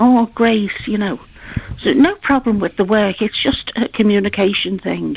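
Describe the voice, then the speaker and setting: A woman of medium pitch amid noticeable background noise. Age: 70s. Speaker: caller. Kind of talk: phone-in call. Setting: phone call. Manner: hesitant, with many fillers.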